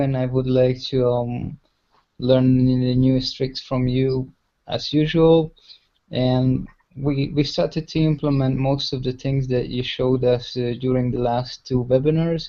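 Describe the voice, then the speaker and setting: A man speaks with a Hungarian accent at a fairly slow pace. His intonation is monotone and flat. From Hungary. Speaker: web analytics practitioner. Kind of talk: online workshop chat. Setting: video call. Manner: hesitant.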